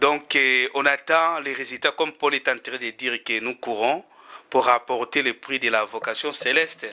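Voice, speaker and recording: With a southern Congolese accent, a man speaks at a fairly slow pace. His tone is bright and sharp. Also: medium pitch for a man, fairly even intonation. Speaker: interviewer. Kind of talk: interview.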